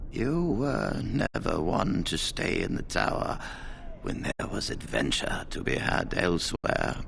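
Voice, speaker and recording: In a put-on character voice with a very deep, low pitch, a man speaks at a fairly slow pace over clear background noise. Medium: machinima. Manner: formal, dignified.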